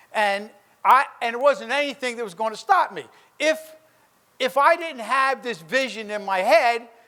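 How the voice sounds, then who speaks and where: Extremely high-pitched for a man, his voice is raised and projected, with a bright, sharp tone and an American accent. The delivery is animated, with lively intonation. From New Jersey, Trenton. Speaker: businessman. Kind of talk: motivational speech. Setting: stage with audience.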